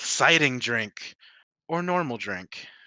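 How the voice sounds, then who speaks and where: This man puts on a character voice, pitched medium and delivered at a fairly slow pace. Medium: actual play. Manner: odd, clipped, mimicked phrasing.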